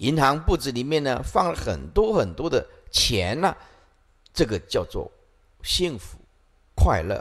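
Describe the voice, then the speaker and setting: A man talks at a fairly slow pace with long, frequent pauses. The background is quiet. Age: 50s. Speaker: Buddhist monk teacher. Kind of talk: dharma lecture. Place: hall. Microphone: podium.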